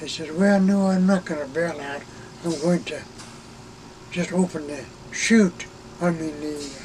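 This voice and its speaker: With noticeable background noise, a man speaks in a high pitch with fairly even intonation and long, frequent pauses. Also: fairly slow pace. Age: 80s+. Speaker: retired Air Force reconnaissance systems officer. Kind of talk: interview answer. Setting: inside an RV.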